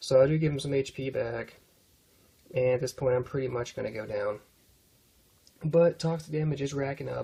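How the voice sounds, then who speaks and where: A man with a medium pitch and ordinary pitch variation speaks in a dark, mellow tone that is somewhat breathy. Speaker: gaming commentator. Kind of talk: gameplay commentary. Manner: casual, hesitant with fillers.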